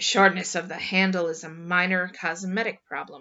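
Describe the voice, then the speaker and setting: A woman's put-on character voice at medium pitch and moderate pace. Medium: read story. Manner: blunt.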